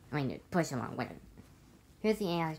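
Against light background noise, a woman's voice makes very wide pitch swings. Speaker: toy train collector. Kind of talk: toy review talk to camera. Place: home room. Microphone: phone near.

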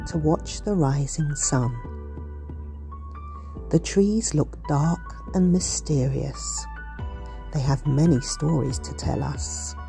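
Over music in the background, a woman talks at a very slow pace, leaving long, frequent pauses. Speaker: poet. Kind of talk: poetry reading.

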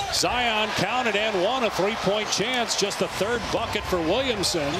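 Against loud background noise, a man with a high pitch uses a raised, projected voice with an energetic tone, ordinary pitch variation and a moderate pace, the sound dry with no echo. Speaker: play-by-play announcer. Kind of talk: live sports play-by-play commentary. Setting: broadcast booth over game footage. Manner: energetic, clipped call of each play. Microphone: headset.

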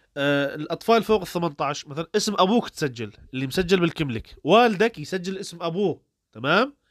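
Speaking at a moderate pace, a man uses lively intonation at a high pitch. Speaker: YouTuber giving advice to refugees. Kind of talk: tutorial. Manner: casual, conversational.

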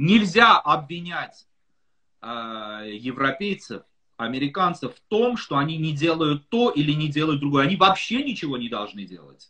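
A man's fairly high voice at a moderate pace. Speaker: political analyst. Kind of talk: interview. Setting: video call.

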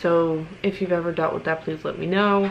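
A woman's fairly low voice at a moderate pace, with fairly even intonation.

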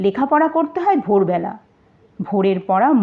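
Someone reads aloud in a natural voice, with lively intonation.

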